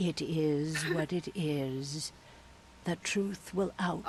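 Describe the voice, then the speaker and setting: A put-on character voice at a middle pitch moves at a very slow pace over clear background noise. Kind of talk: video game dialogue. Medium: video game. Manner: cryptic, ominous.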